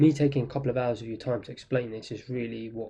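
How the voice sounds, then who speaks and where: This man has a dark, mellow tone and a medium pitch, somewhat breathy. His intonation stays fairly even. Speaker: trading instructor. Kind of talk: tutorial.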